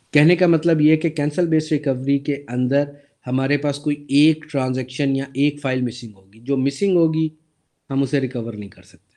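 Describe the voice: Fairly even intonation accompanies a dark, mellow tone. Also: man, medium pitch for a man, moderate pace.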